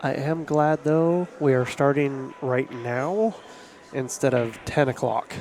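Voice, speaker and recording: Noticeable background noise surrounds a man with a fairly high voice. He talks at a very slow pace with ordinary pitch variation. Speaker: pool commentator and tournament organizer. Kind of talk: live commentary.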